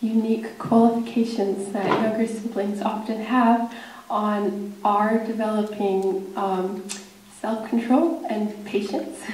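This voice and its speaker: Fairly even in intonation, a woman speaks at a very slow pace. Light background noise and audible room echo are present. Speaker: speaker. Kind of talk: prepared speech. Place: hall. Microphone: podium.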